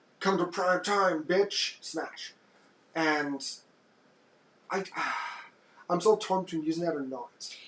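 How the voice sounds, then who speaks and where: Amid noticeable background noise, a man with a high pitch speaks very slowly with ordinary pitch variation and long, frequent pauses. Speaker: podcast host. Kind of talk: casual chat. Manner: quiet.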